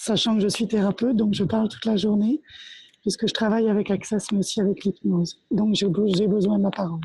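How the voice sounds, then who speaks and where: A woman's dark, mellow voice sounds strained and somewhat breathy, with fairly even intonation. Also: medium pitch for a woman, fairly quick pace. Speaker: therapist. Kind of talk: group workshop sharing. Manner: pushing, strained delivery.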